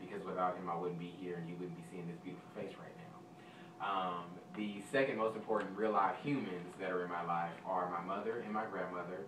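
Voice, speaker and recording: A man with an American accent at a fairly quick pace, big swings in loudness, audible room echo and noticeable background noise. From Texas, South Dallas. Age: 20s. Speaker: audition contestant, server and substitute teacher. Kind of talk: audition interview.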